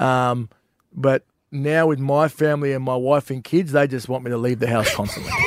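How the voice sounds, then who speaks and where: Here a man speaks with an Australian accent at a medium pitch and fairly even intonation. The sound is dry and close, with no echo. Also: moderate pace. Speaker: comedian. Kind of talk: casual banter.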